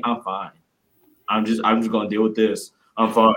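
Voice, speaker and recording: Using a gruff, put-on character voice, a man speaks at a medium pitch and a moderate pace. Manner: stoic, suppressing emotion.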